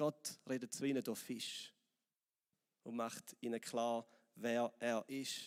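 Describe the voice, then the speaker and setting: The speaker is a man with a Swiss accent. His recording sounds dry and close, with no echo. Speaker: pastor. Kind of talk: sermon.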